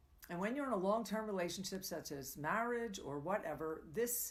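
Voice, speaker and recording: At a moderate pace, a woman speaks at a medium pitch with very wide pitch swings, and the room echo is audible. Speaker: tantra coach and live show host. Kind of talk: live coaching talk. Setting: live stream broadcast.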